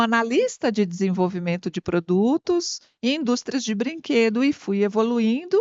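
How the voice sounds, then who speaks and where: A woman speaks in an ordinary speaking voice, pitched fairly high. Her pace is fairly slow. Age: 60s. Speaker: marketing consultant and MBA teacher. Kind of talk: interview. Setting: studio.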